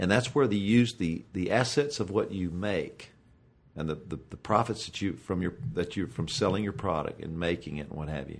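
A plain, everyday voice with lively intonation, on a very clean recording with a silent background. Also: man, fairly low pitch for a man, moderate pace. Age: 50s. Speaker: professional golfer. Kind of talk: casual chat.

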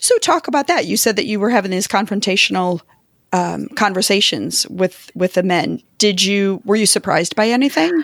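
With lively intonation and some vocal fry, a woman talks at a moderate pace and medium pitch, recorded with a dry, close sound and no echo. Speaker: podcast host. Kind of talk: casual interview.

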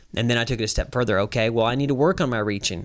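A man's ordinary speaking voice, medium in pitch with ordinary pitch variation, in a very clean recording with a silent background. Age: 30s. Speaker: professional calf roper. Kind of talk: casual interview.

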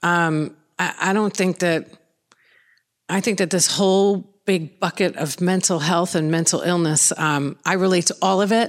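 A woman with a New York accent, fairly low-pitched, at a fairly slow pace, with fairly even intonation and very even loudness, on a very clean recording with a silent background. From Long Island, New York, US. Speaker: author in addiction recovery. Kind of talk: interview.

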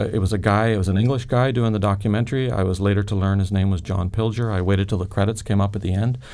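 A man with a fairly low pitch and a dark, mellow tone talks at a very fast clip. His pitch varies in an ordinary way. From Northern Ireland, Belfast. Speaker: founder of an anti-trafficking charity, former forensic weapons specialist. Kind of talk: interview testimony. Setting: studio.

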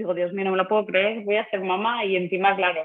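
The woman speaks at a medium pitch. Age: 30s. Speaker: secondary school English teacher and mother. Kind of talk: personal testimony in interview. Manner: halting, with frequent repetitions and fillers.

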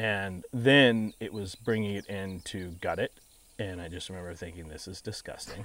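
With an American accent and an ordinary speaking voice, a man talks at a moderate pace and a fairly low pitch, with ordinary pitch variation and big swings in loudness. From Texas (San Antonio) and Colorado. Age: 40s. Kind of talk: interview. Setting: outdoors on a ranch.

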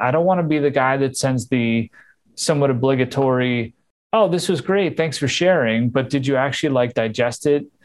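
On a very clean recording with a silent background, a man uses a plain, everyday voice at a moderate pace, his pitch fairly high with ordinary variation. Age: 40s. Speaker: marketing and creative executive. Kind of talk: interview.

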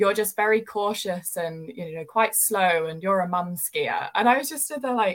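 A woman with a British accent talks at a medium pitch. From UK. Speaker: ski instructor. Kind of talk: casual interview chat.

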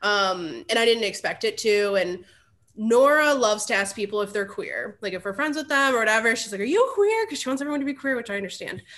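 A woman with a Midwestern American accent talks very fast in a fairly high pitch. Her pitch varies in an ordinary way against a quiet background. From Ohio, Cleveland area. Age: 30s. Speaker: podcast guest. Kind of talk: casual chat.

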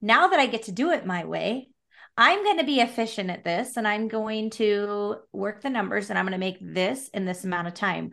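Over a quiet background, a woman with a West Coast accent talks at a moderate pace, her fairly high pitch varying in an ordinary way and her tone bright and sharp. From Oregon (Salem). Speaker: real estate broker and business owner. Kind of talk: casual chat.

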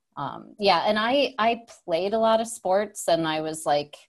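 A woman speaks in a plain, everyday voice with an American accent, using lively intonation at a moderate pace. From upstate New York. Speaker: tech product manager and entrepreneur. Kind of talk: interview. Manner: casual, many fillers.

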